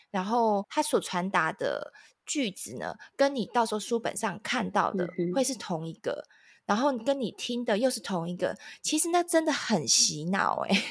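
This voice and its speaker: In a very clean recording with a silent background, a woman with a Taiwanese accent talks at a moderate pace, her fairly high voice making very wide pitch swings. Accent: Taiwanese Mandarin. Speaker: parenting podcast host. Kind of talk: casual chat.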